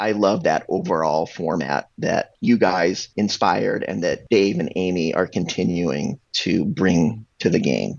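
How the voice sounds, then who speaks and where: The voice runs at a fairly slow pace. It has hardly any pauses. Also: man. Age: 50s. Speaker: freestyle frisbee podcast co-host. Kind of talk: casual chat.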